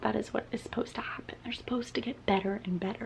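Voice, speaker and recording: A soft-spoken voice with fairly even intonation, heard over noticeable background noise. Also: woman. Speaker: booktuber. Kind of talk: casual chat. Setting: home, at night.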